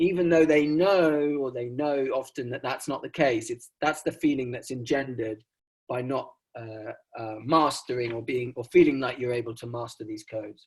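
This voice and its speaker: In an English accent, a man speaks at a moderate pace and medium pitch with ordinary pitch variation. His voice is somewhat breathy and swings widely in loudness. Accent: received pronunciation. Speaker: sociologist presenting research. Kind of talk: academic conference talk. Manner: frequent fillers and hesitations.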